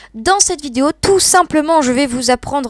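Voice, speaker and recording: A woman's voice, dry and close with no echo, on a very clean recording against a silent background. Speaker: gaming YouTuber. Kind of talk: gameplay tutorial. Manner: fast; halting, stammering.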